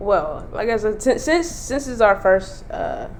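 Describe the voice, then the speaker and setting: Audible room echo and noticeable background noise around female speech. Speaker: podcast co-host. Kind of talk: casual chat.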